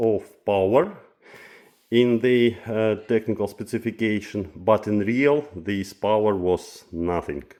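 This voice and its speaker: Very slow speech from a man with a non-native accent, fairly low pitch and ordinary pitch variation. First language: Russian. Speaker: audio equipment reviewer. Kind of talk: product review vlog. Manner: halting, many filler sounds.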